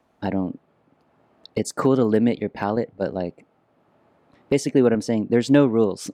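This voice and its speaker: A man's medium-pitched voice with a dark, mellow tone and ordinary pitch variation, broken by long, frequent pauses, in a dry, close sound with no echo on a very clean recording with a silent background. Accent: Vietnamese. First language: Vietnamese. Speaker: musician and former creative director. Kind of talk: casual interview.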